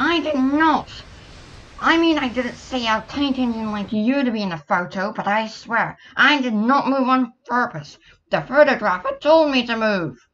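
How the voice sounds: A female-sounding, cartoonish character voice speaks at a high pitch. The pace is moderate.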